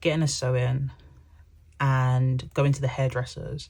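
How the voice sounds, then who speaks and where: In a very clean recording with a silent background, a woman speaks with a London accent at a moderate pace. Her tone is dark and mellow, and somewhat breathy. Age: young. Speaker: personal finance YouTuber. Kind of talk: casual chat. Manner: chatty, filler-heavy.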